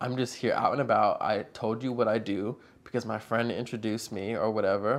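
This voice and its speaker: A normal speaking voice from a man, medium in pitch, with fairly even intonation and a fairly quick pace. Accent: American. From Northern Virginia, US. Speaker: videographer and photographer. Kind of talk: casual chat.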